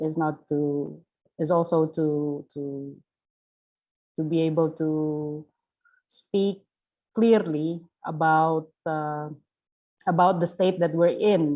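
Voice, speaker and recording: With a non-native accent, a woman speaks very slowly in a dark, mellow tone, her fairly low pitch carrying fairly even intonation. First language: not English. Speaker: panel speaker. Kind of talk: panel discussion. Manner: halting, many fillers and repetitions.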